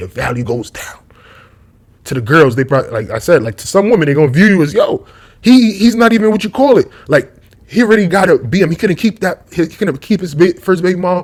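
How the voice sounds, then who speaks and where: Somewhat breathy, a man moves at a fairly quick pace with very wide pitch swings. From New York, Brooklyn. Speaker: YouTube commentator. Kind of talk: casual monologue vlog. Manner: rambling, tangential.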